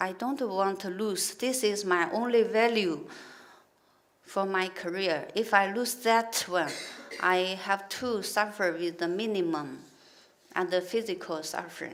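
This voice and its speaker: A woman speaks with a Chinese accent at a medium pitch. Her pace is fairly slow and her pitch varies in an ordinary way. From China. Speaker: injured worker. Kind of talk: testimony. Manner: halting.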